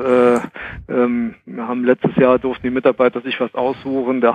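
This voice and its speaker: A man speaks at a medium pitch and a moderate pace, the sound dry and close with no echo. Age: 40s. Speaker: HR consultant. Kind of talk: casual chat.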